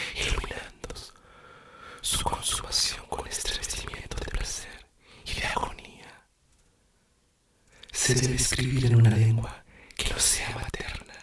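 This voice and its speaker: A man whispers at a very slow pace. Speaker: poetry reader. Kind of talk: poetry reading, ASMR whispered reading. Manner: whispered, soft-spoken. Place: home room.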